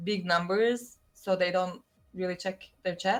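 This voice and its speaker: The speaker talks with a Turkish accent at a fairly slow pace. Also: woman. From Turkey. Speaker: streamer. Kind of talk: casual chat.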